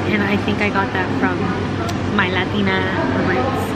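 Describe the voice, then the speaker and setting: A woman's voice amid loud background noise. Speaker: travel vlogger. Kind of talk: casual vlog chat. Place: cafe. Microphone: phone near.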